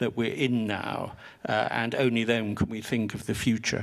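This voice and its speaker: In an English accent, a man speaks with monotone, flat intonation. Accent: English accent when speaking French. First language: English (speaking French). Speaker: historian. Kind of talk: panel talk, lecture-like.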